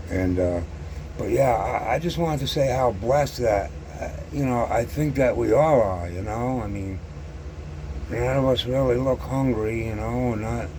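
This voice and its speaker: A man at a medium pitch with lively intonation and a moderate pace, plus noticeable background noise and audible room echo. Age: 60s. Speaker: scale model hobbyist YouTuber. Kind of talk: casual monologue to camera. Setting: sitting alone at home. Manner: halting, many fillers and repetitions; stutters on some words.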